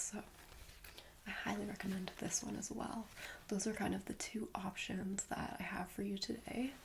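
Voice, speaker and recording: A soft-spoken woman at medium pitch keeps a moderate pace over noticeable background noise. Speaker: ASMR creator. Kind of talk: ASMR roleplay, friendly show-and-tell about plants. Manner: soft-spoken, friendly, rambling.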